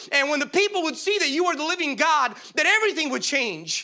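A man speaks in a raised, projected voice with a bright, sharp tone. His delivery is animated and fairly quick. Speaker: preacher. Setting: church. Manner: repetitive, exhorting.

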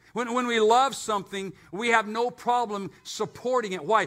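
A man's high-pitched voice comes out raised and projected, bright and sharp in tone. He keeps a moderate pace with ordinary pitch variation. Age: 60s. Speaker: pastor. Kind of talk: sermon. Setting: church. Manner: animated.

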